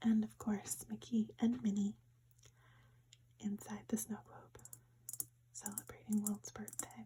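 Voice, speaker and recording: Whispering at a fairly slow pace, with long, frequent pauses. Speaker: ASMR creator. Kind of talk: ASMR show and tell. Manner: whispered.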